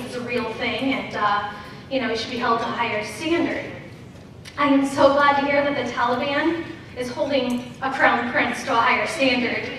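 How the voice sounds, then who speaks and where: A woman with a high voice talks at a moderate pace, using ordinary pitch variation. The room echoes strongly, and there is light background noise. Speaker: stand-up comedian. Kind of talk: stand-up comedy routine. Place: stage.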